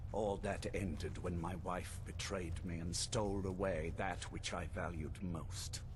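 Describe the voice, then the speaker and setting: Amid loud background noise, a man puts on a character voice, very deep and low in pitch, at a fairly slow pace. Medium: machinima. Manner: imperious, measured, menacing.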